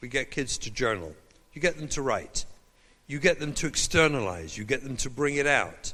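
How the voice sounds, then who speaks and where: In an English accent, a man talks at a moderate pace with a fairly high pitch and lively intonation. Vocal fry runs through his voice. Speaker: rabbi and parenting educator. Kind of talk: lecture. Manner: animated.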